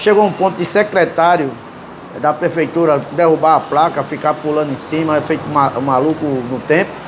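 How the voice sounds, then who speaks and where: Through noticeable background noise, a man with a northeastern Brazilian accent talks at a moderate pace with fairly even intonation. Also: very even loudness. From Brazil, Northeast (João Pessoa, Paraíba). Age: 60s. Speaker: cartoonist. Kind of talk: interview. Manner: halting.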